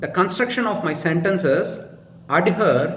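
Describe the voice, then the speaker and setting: Through audible room echo and noticeable background noise, a man with a Tamil Indian accent speaks in a high pitch with lively intonation. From India, Tamil Nadu. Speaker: YouTuber answering viewer questions. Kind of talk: casual monologue, Q&A. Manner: slow, careful; formal sentences.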